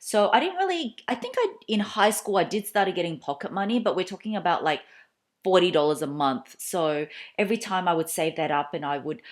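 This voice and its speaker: A woman's medium-pitched voice with an Australian accent and lively intonation. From Australia (Melbourne), moved from Malaysia at four. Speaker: YouTuber. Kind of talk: casual Q&A vlog. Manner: chatty, with many fillers and restarts.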